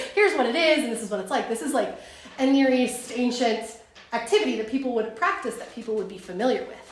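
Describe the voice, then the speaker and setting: Audible room echo surrounds a woman who talks very fast in a high voice with lively intonation. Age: 30s. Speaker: co-leader of a Bible study teaching. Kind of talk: Bible study teaching.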